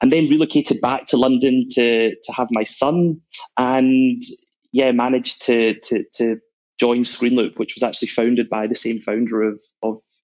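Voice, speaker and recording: This man has a Scottish accent and a medium pitch. He keeps his intonation fairly even. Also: moderate pace. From Scotland, Glasgow. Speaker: sales executive. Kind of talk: interview.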